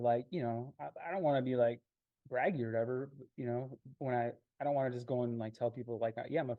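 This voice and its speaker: A man with an ordinary speaking voice and an American accent talks fairly quickly at medium pitch, with big swings in loudness. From Minnesota. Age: 40s. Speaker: video producer. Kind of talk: one-to-one business meeting.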